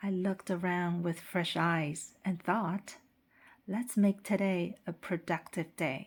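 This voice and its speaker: At a very slow pace, a woman talks with fairly even intonation and a fairly low pitch. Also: very clean recording, silent background. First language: Mandarin Chinese. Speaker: English teacher. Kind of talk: scripted narration for language practice. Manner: slow, clear.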